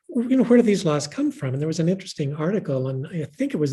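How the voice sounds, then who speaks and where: A woman speaks with a dark, mellow tone that is somewhat breathy. Her pitch swings very widely. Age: 70s. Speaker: author and pastor. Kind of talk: book event conversation. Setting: live stream.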